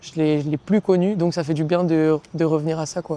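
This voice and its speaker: A woman speaks at a moderate pace with a fairly low pitch and a dark, mellow tone. Her intonation is monotone and flat, and the sound is dry and close with no echo. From southern France, Marseille area, raised in Montpellier from 15. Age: 20s. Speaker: professional basketball player. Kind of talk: casual interview. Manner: hesitant with many fillers.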